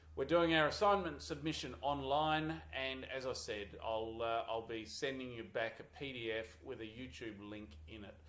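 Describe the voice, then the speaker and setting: With an Australian accent, a man at medium pitch talks at a moderate pace with very wide pitch swings and hardly any pauses. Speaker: university lecturer. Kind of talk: course introduction video. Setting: small office. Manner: halting, many fillers.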